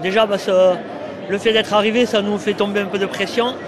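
Over noticeable background noise and audible room echo, a man talks at a fairly quick pace. His pitch is high and his intonation monotone and flat. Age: 50s. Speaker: player's father. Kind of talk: interview.

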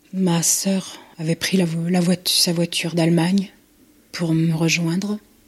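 Somewhat breathy and fairly low for a woman, her voice moves at a fairly slow pace in a monotone, flat delivery. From Nantes, western France. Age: 60s. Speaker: mother of kidnapped newborn. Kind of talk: testimony.

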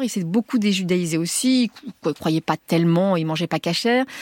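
A woman speaks at a moderate pace with lively intonation, the sound dry and close with no echo. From Tunisia (Tunis), raised in France from age 5. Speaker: writer and journalist. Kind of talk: radio interview. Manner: talks with her hands, voluble; halting, many repetitions.

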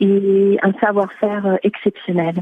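The speaker is a woman. Her voice has a fairly high pitch. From France. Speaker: singer-songwriter. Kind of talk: radio interview. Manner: halting.

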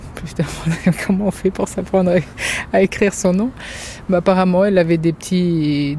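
Against noticeable background noise, a woman with a fairly low pitch talks at a moderate pace with fairly even intonation. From France, Germany and Lebanon. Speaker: mother who co-founded a forest school. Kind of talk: interview testimony.

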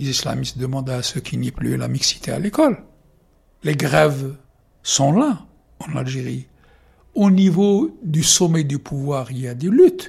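Long, frequent pauses break up this man's speech. Overall he moves at a fairly slow pace. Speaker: journalist. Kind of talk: interview.

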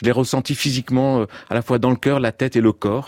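Dark and mellow in tone, a man's voice moves at a very fast pace with fairly even intonation, the sound dry and close with no echo. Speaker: photographer. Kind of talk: radio interview. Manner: halting.

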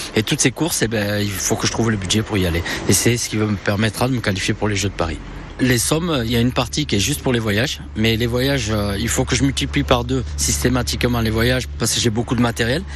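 A man's fairly low voice at a very fast pace, with very wide pitch swings and noticeable background noise. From southwestern France (Béarn). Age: 50s. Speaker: paratriathlete. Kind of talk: interview testimony.

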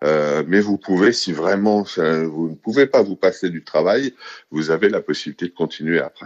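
Moderate pace from a man with a very deep, low pitch. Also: ordinary pitch variation. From Paris, France. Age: 50s. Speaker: expatriate interviewee. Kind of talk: interview. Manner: halting, many fillers.

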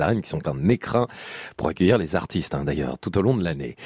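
A man's voice swings very widely in pitch, heard in a dry, close sound with no echo. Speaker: radio host. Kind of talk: call-in radio show. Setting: studio. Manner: warm, chatty.

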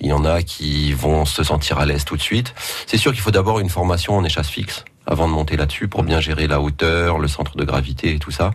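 Against noticeable background noise, a man with a very deep, low pitch speaks at a fairly quick pace with ordinary pitch variation. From northern France. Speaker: street performer. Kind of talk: radio interview.

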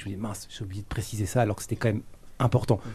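A man's dark, mellow tone. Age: 30s. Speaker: YouTuber. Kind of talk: interview. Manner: hesitant.

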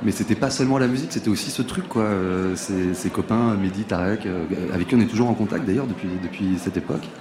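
Ordinary pitch variation at a fairly quick pace, with noticeable background noise. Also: man. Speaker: band member. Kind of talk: interview chat.

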